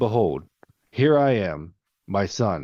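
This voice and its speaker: Putting on a character voice, a man speaks at a fairly low pitch with very wide pitch swings. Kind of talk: archaic biblical.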